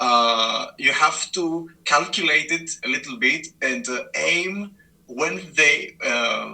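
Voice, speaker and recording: Speaking at a very slow pace with a non-native accent, a man is heard over noticeable background noise. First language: not English. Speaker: competitive mobile racing game player. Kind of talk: interview. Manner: halting, many fillers.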